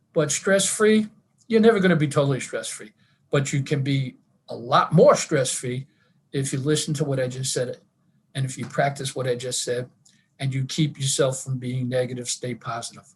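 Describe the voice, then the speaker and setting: Somewhat breathy and pitched fairly high, a man talks at a moderate pace with ordinary pitch variation. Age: 70s. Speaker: wellness presenter, retired teacher and school administrator. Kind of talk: online wellness talk.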